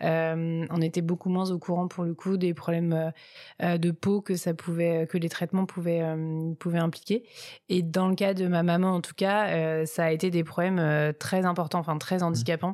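In a very clean recording with a silent background, a woman with a dark, mellow tone talks at a moderate pace, her fairly low voice monotone and flat. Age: 30s. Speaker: cosmetics brand co-founder. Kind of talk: interview. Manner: halting.

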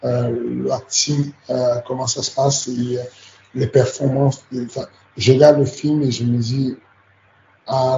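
The man's voice is somewhat breathy and medium in pitch. He speaks fairly slowly, with monotone, flat intonation. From Cameroon. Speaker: MMA coach. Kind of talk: interview. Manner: halting.

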